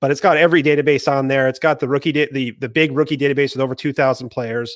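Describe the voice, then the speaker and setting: Someone with an American accent speaks at a very fast pace in a very clean recording with a silent background. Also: man. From US, Maine. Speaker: fantasy football podcaster and analyst. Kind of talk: casual chat. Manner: enthusiastic.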